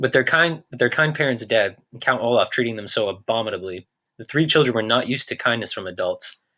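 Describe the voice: With lively intonation, the voice gives a plain reading aloud against a quiet background.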